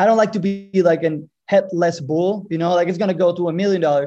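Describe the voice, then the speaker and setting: Against a quiet background, a man speaks at a high pitch with a dark, mellow tone. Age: 30s. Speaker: podcast listener. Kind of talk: interview.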